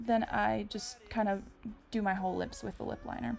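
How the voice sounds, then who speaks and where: Music plays in the background as a woman speaks. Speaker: beauty vlogger. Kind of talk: makeup tutorial. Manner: casual, chatty.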